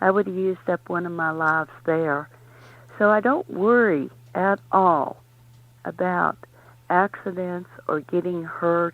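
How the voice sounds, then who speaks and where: Here a woman has a normal speaking voice at a fairly low pitch. Her intonation stays fairly even. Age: 60s. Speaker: drag racer. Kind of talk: interview. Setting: radio show.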